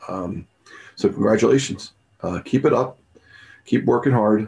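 A man speaks with a fairly low pitch, a somewhat breathy quality and ordinary pitch variation. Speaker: math teacher. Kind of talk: tribute speech. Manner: halting. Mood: warm, encouraging. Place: home room. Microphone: webcam.

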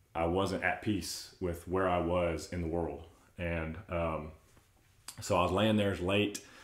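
In a room with audible echo, a man with a very deep, low pitch speaks at a fairly slow pace in a monotone, flat intonation. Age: 30s. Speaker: churchgoer sharing faith story; podcast guest. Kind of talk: casual chat. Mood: earnest, reflective storytelling. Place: home room.

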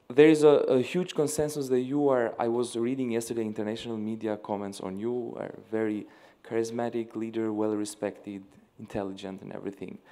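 With an Albanian accent, a man speaks at a fairly quick pace in a dark, mellow tone, showing ordinary pitch variation and big swings in loudness. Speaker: young leader delegate asking a question; audience member. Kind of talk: audience question. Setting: stage with live audience. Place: hall.

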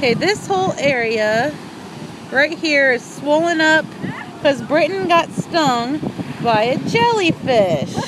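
A very slow pace, with a dry sound with no echo and noticeable background noise. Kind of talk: casual vlog chat. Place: beach. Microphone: phone near.

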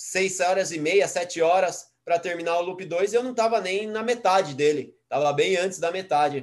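A man with a high-pitched voice talks fairly slowly. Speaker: adventure racer and teacher. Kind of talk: casual interview chat.

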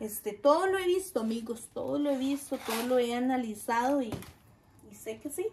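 A high-pitched woman with a Costa Rican accent, lively intonation and a moderate pace, over noticeable background noise. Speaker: gardening vlogger. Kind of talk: casual tutorial vlog. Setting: outdoors in garden. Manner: chatty, warm. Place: garden.

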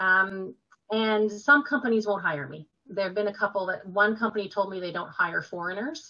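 An unremarkable speaking voice with a Canadian accent, moderate pace, ordinary pitch variation and big swings in loudness over a quiet background. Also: woman, medium pitch for a woman. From Quebec, Canada. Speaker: nurse and health writer; interview guest. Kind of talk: interview. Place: home room. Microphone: webcam.

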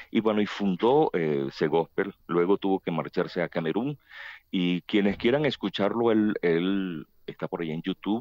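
Against a quiet background with dry sound and no echo, a man speaks at a fairly slow pace with lively intonation. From Venezuela, Barquisimeto; Venezuela. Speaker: choir association president. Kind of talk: radio interview. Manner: talkative; halting. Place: studio.

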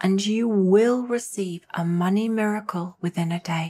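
Delivered at a fairly slow pace, the speech uses a normal speaking voice with ordinary pitch variation. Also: woman. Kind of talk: guided meditation. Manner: soft, gentle, hypnotic.

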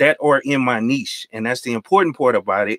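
A man at a fairly quick pace, dry sound with no echo, and a quiet background. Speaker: IT professional and tech YouTuber; tech YouTuber. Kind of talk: casual live stream chat. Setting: video call. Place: home room. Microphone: studio mic.

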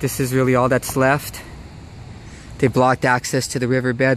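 Light background noise sits under a man's voice, which sounds dry with no echo. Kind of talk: reflective vlog narration. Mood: nostalgic, wistful. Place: street. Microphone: phone near.

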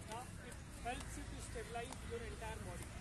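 A man talks at a moderate speed amid loud surrounding noise. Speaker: fitness instructor. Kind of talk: workout instruction. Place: open country.

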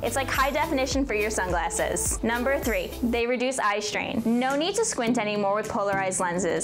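Over clear background music, a woman with an American accent speaks at a moderate pace in a high pitch, her intonation lively and her tone upbeat and playful. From New Jersey. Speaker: brand video host. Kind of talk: explainer to camera. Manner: upbeat, playful. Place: studio. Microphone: lapel.

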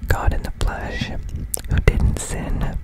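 Soft-spoken and whispering, a man comes through a dry sound with no echo over loud background noise. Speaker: religious content creator. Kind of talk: reading aloud and commentary. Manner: soft close-mic whisper. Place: home room. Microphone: studio mic.

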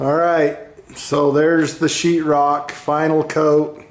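Audible room echo surrounds a man who talks very slowly. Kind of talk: casual vlog chat. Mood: pleased, relaxed. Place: garage. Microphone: phone near.

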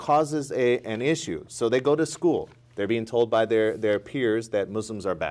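At a moderate pace, a man with an American accent speaks at a medium pitch with ordinary pitch variation. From US, small farm town. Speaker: youth counselor, former navy sailor; guest. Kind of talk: interview. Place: studio. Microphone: lapel.

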